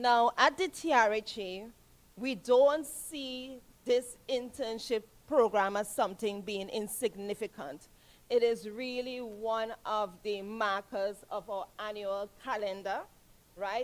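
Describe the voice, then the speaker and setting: With a Trinidadian accent, a woman with a fairly high pitch speaks very slowly and with ordinary pitch variation. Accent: Trinidad and Tobago English. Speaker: health authority official. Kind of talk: ceremony speech. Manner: animated.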